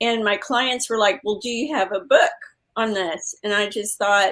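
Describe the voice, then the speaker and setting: The pitch rises and falls in an ordinary manner. The voice belongs to a woman. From Texas. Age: 60s. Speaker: health coach and author. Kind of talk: interview. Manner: halting, many fillers.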